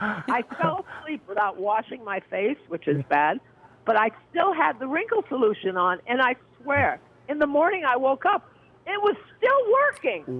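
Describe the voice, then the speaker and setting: A man's extremely high-pitched voice with very wide pitch swings. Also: moderate pace. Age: 70s. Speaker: caller. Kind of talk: testimony. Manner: animated.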